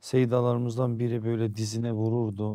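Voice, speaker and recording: A man's fairly low voice, dark and mellow, at a fairly slow pace with fairly even intonation over a quiet background. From Turkey, Erzurum (eastern Anatolia); Turkey. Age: 50s. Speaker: Islamic preacher and foundation founder; interview guest. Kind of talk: interview conversation. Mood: calm, warm storytelling. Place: studio. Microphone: lapel.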